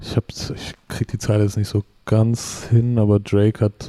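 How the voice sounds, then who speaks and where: A man's dark, mellow voice, monotone and flat, at a fairly slow pace, in a dry, close sound with no echo. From Middle Franconia, rural Bavaria (Germany). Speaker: rapper. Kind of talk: casual interview chat.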